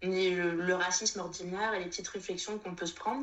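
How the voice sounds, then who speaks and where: Noticeable background noise sits behind a woman's voice. She speaks at a moderate pace with medium pitch. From Réunion. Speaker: Instagram creator. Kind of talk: testimony. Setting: video call. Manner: halting.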